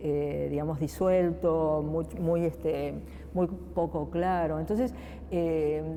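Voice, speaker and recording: The speech comes at a very slow pace with very even loudness. Audible room echo surrounds it. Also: woman. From Argentina. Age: 50s. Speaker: political scientist, research agency director. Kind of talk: interview. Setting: museum, interview set. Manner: hesitant, many fillers.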